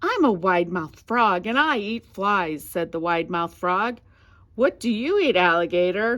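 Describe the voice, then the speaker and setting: At medium pitch and a moderate pace, a woman speaks in a put-on character voice. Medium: read story.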